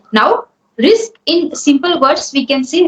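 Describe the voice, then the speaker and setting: At a very slow pace, a woman with an Indian accent speaks at a high pitch. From India, Hindi-speaking. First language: Hindi. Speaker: English speaking coach. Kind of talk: spoken English coaching session.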